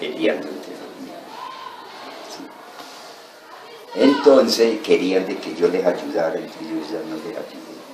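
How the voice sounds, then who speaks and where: Against noticeable background noise, a man talks very slowly, his loudness swinging widely. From Colombia, Tolima. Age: 70s; old. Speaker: former guerrilla fighter and farmer. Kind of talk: interview answer.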